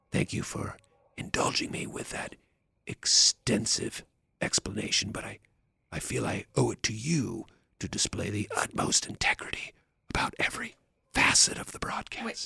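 Using a put-on character voice, a man whispers quietly in a raspy tone at a moderate pace. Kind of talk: formal, pompous. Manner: hushed, whispering-like.

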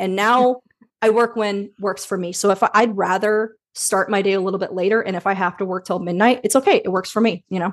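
Intonation stays fairly even while the words come at a fairly quick pace. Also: woman, medium pitch for a woman. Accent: American. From US Midwest, Indiana. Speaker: speech-language pathologist and business owner. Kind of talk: casual interview.

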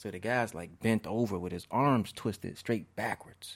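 An ordinary speaking voice: a man with an American accent talks at a moderate pace, his fairly low pitch showing ordinary variation. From Chicago south suburbs (Markham, Harvey). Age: young. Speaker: community organizer and restorative justice facilitator. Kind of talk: casual interview.

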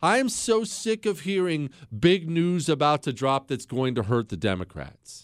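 A man speaks with a fairly high pitch. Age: 30s. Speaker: radio talk show host. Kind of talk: political talk radio monologue. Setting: studio. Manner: animated.

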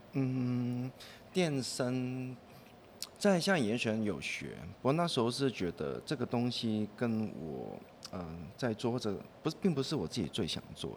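With a Cantonese accent, a man speaks at a fairly slow pace, his pitch swinging very widely. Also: medium pitch for a man. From Hong Kong. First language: Cantonese (speaking Chinese). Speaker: composer. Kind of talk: casual interview chat.

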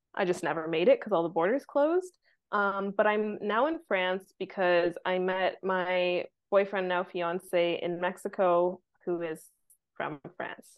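A normal speaking voice from a woman with a Canadian accent, medium pitch, ordinary pitch variation and fairly slow pace. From Vancouver, Canada. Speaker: content repurposing agency owner, marketing mentor. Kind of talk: casual interview chat.

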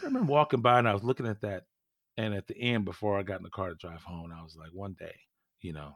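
Ordinary pitch variation marks this voice, which moves at a very fast pace. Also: man. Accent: American. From California. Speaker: former pro RC racer. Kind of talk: casual interview. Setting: home podcast studio, remote.

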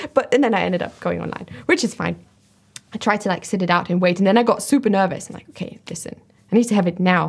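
Vocal fry at a very fast pace, ordinary pitch variation and big swings in loudness. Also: woman, medium pitch for a woman. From Germany. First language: German. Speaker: watch video creator. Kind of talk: casual interview.

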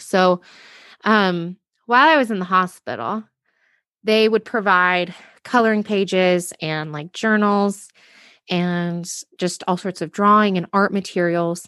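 A woman with an American accent, medium pitch and a bright, sharp tone, ordinary pitch variation, fairly slow delivery with long, frequent pauses, against a quiet background. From Utah, US. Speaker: entrepreneur and postpartum depression survivor. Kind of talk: interview, personal testimony. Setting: at home, kids nearby.

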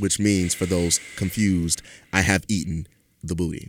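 At a fairly slow pace, a man talks in a very deep, low pitch with ordinary pitch variation. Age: 20s. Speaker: podcast host. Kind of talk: casual chat. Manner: animated.

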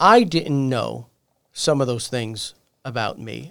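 Speaking at a very slow pace, the man uses lively intonation. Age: 40s. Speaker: podcast host. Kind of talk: interview.

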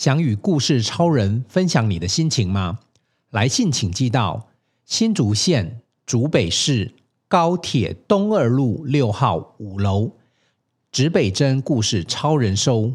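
Very wide pitch swings mark this man's medium-pitched, somewhat breathy voice as he speaks at a very slow pace. The recording is very clean, with a silent background. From Taiwan, Hsinchu coast. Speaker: podcast host. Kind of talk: interview. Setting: on location at a class. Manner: animated.

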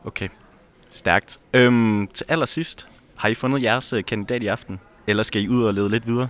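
Intonation stays fairly even in a normal speaking voice delivered at a moderate pace. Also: man, medium pitch for a man. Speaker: podcast host. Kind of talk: casual chat, on-location reporting.

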